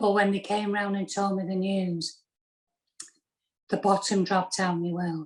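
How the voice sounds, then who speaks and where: With fairly even intonation, a woman speaks at medium pitch and a moderate pace. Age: 60s. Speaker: pulmonary hypertension patient. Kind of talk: testimony. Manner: halting.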